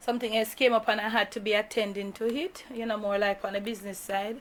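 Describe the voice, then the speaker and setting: Talking at a fairly quick pace, a woman with a Jamaican accent keeps her fairly high pitch on a fairly even line. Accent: Jamaican, with patois. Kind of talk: casual vlog talk to camera.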